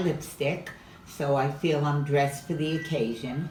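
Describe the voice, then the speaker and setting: Through noticeable background noise and audible room echo, a woman with a very deep, low pitch talks at a moderate pace with fairly even intonation. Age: 90s. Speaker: home cook. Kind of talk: cooking demonstration. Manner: halting.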